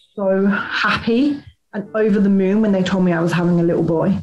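Faint music plays in the background. The speech moves at a fairly quick pace. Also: woman. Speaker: guest. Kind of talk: personal testimony. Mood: serious, reflective. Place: home room. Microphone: webcam.

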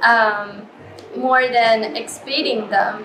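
Over noticeable background noise, a woman talks at a very slow pace. Her voice is high-pitched, in a Chinese accent. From China. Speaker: artist. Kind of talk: interview. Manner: hesitant, many fillers. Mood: warm, relaxed.

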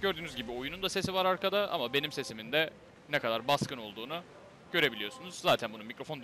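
Through noticeable background noise, a man speaks at a very fast pace with lively intonation. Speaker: tech reviewer / YouTuber. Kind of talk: tutorial. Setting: home, recording with headset mic. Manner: casual, explanatory.

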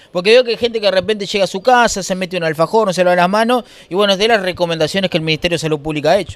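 Animated and very fast, a man with a Uruguayan accent speaks at a high pitch with ordinary pitch variation, and the sound is dry with no echo. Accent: Rioplatense Spanish (Uruguay). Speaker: street interviewer. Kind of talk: vox pop street interviews. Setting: outdoors, street. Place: shop. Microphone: handheld.

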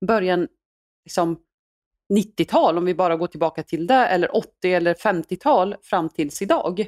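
Her ordinary speaking voice sits at medium pitch as the woman talks at a fairly slow pace, on a very clean recording with a silent background and a dry, close sound with no echo. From Iraq, raised in Sweden. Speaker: former politician. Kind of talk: interview.

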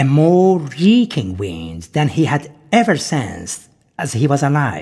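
Speaking very slowly in a solemn, dramatic tone, a man with a fairly high, somewhat breathy, dark and mellow voice moves through very wide pitch swings. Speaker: narrator reading mythic text. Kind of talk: scripted narration of mythic afterlife text, read aloud. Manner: solemn, dramatic storytelling pace, occasionally breaking into laughter.

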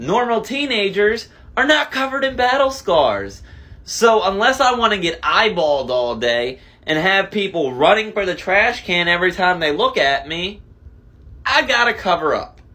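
The voice is raised and projected, with a bright, sharp tone. Its pitch swings very widely at a moderate pace. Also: man. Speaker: skit creator playing two characters. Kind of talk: comedy skit dialogue. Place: home room. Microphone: phone near.

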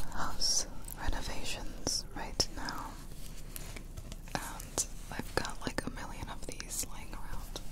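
Whispering at a very slow pace with long, frequent pauses, a woman keeps a calm tone. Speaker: ASMR creator. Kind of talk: ASMR trigger assortment, whispered/soft talk to camera. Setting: home studio with microphones. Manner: soft, calm, relaxing. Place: home room. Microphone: studio mic.

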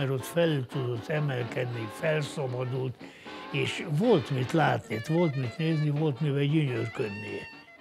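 With music in the background, a man speaks at a fairly slow pace in a fairly high pitch with ordinary pitch variation. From Hungary. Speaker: retired footballer. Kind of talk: documentary interview answer.

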